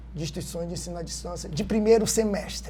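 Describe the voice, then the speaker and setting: A man's voice with audible room echo. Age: 60s. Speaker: university professor and course coordinator. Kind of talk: podcast discussion.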